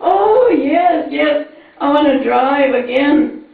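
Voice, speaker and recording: A woman at a very slow pace, with noticeable background noise. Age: 80s+. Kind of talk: speech at birthday tribute. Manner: slow, hesitant.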